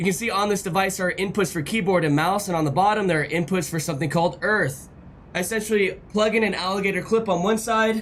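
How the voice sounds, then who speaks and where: Against noticeable background noise, a man speaks very fast in a high pitch with ordinary pitch variation. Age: 30s. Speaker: gaming streamer. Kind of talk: live stream chat and gameplay; tutorial. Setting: live stream with on-screen chat. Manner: animated.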